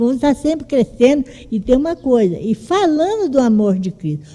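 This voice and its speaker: A woman talks at a moderate pace in a high voice with a dark, mellow tone. Her pitch swings very widely. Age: 70s. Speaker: church member speaking in Bible class. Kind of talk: testimony. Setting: church classroom with microphone.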